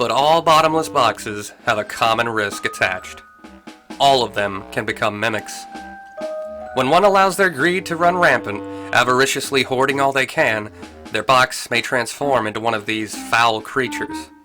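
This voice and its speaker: Music plays in the background as a man speaks. His voice sits at a medium pitch with lively intonation. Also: moderate pace. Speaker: video game lore narrator. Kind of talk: casual lore narration. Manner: relaxed, natural, playful.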